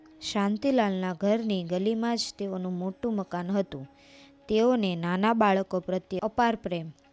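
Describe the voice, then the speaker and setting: A woman's medium-pitched voice with ordinary pitch variation, dry and close with no echo, over music in the background. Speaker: narrator of a religious life story. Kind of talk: devotional biography narration.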